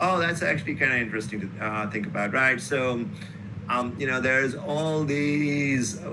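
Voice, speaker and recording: Noticeable background noise and audible room echo around a man talking at a moderate pace. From northern India. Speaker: professor. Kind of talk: interview. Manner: loud.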